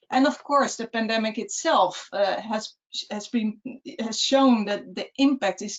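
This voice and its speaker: Her voice is somewhat breathy, with fairly high pitch and ordinary pitch variation. The woman talks at a fairly slow pace. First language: not English. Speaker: city resilience officer. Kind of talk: webinar presentation. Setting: webcast. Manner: halting.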